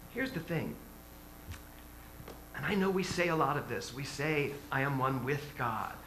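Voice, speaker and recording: Over noticeable background noise and audible room echo, a man with a fairly high voice speaks at a moderate pace. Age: 60s. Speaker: minister. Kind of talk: sermon. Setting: church. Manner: animated.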